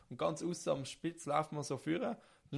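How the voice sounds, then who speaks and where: A man with a fairly high pitch speaks with vocal fry on a very clean recording with a silent background. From rural Switzerland. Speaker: podcast co-host. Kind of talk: casual chat.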